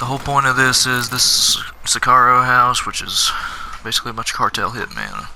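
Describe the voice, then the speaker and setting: The voice is soft-spoken. Noticeable background noise is present. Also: man. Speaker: gaming video creator. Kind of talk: let's play commentary. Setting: home recording. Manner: quiet.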